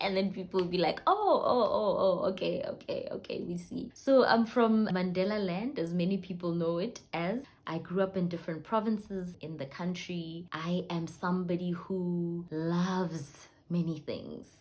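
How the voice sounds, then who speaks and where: A woman with a South African accent talks at a moderate pace with hardly any pauses, her medium-pitched, somewhat breathy voice keeping a fairly even intonation. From South Africa, Limpopo. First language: Sepedi (Northern Sotho). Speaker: vlogger, entrepreneur. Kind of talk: personal vlog introduction. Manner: chatty, conversational.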